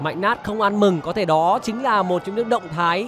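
Over music in the background, a man talks in an animated tone at a fairly quick pace, his pitch high with ordinary variation. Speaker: football commentator. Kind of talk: live sports commentary. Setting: stadium broadcast. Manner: animated, fast-paced play-by-play; formal, polished broadcast diction.

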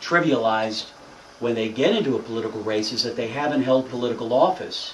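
A man at a medium pitch and moderate pace, with ordinary pitch variation, audible room echo and noticeable background noise. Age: 30s. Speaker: politician. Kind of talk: speech.

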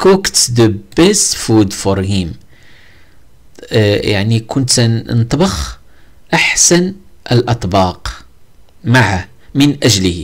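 A man's very slow, medium-pitched speech with vocal fry and very wide pitch swings. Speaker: English teacher. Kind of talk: tutorial. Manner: halting.

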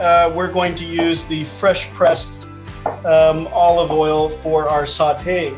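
Faint music plays in the background as a man with a high pitch talks at a very slow pace. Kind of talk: tutorial. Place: home room. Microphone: video call.

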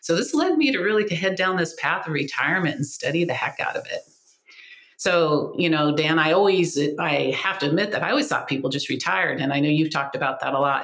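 A woman with an American accent talks very fast at a fairly low pitch, with ordinary pitch variation. There is noticeable background noise. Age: 60s. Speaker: life transition coach. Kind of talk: casual interview conversation.

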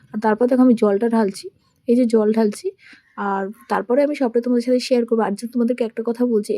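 A woman's dark, mellow voice, fairly high in pitch with fairly even intonation, comes through with a dry, close sound and no echo. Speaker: vlogger. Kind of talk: vlog narration. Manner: chatty.

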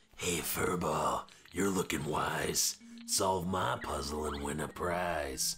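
Raspy and very deep, with a very low pitch, a man speaks at a very slow pace against clear background noise. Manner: taunting, rhyming.

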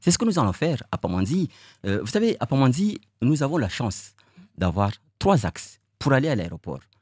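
A man talks at a moderate pace with vocal fry and very wide pitch swings, leaving long, frequent pauses. The sound is dry with no echo, and the background is quiet. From Mayotte. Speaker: mayoral candidate; election candidate. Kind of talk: interview. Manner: halting. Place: studio. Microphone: studio mic.

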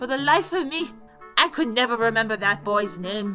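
The voice has a warm tone. Clear music plays in the background. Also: woman. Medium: audio drama. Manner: kindly, warm, then alarmed.

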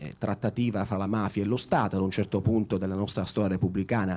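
A man with an unremarkable speaking voice keeps his intonation fairly even. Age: 30s. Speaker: journalist moderator. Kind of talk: moderated public interview. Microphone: handheld.

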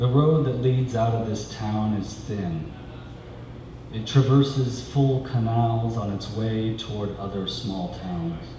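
A man talks very slowly with ordinary pitch variation, over noticeable background noise and audible room echo. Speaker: poet. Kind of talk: poetry reading. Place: cafe. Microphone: camera far.

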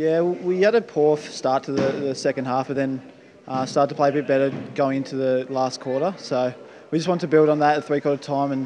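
A man speaks over light background noise. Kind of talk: interview answer. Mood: pleased after a win. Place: gym. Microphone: handheld.

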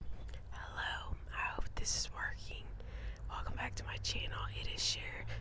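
A woman is whispering. Her pace is moderate. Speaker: channel host. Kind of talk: casual vlog chat and Bible reading aloud. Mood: calm, gentle. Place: garden. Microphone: lapel.

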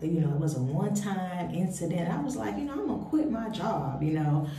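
A woman speaks with lively intonation. There is audible room echo. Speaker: career vlogger. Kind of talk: casual vlog chat. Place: bathroom. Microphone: phone near.

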